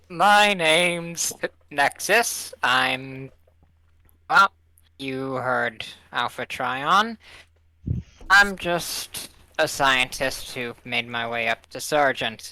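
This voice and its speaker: On a very clean recording with a silent background, a put-on character voice at low-to-middle pitch moves at a very slow pace with long, frequent pauses. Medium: actual play. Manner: casual, flippant.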